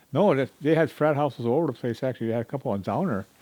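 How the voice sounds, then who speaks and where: A man speaks very fast in an American accent. His voice sits at a medium pitch with ordinary variation. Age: 80s+. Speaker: retired chemist, grandfather. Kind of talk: casual interview.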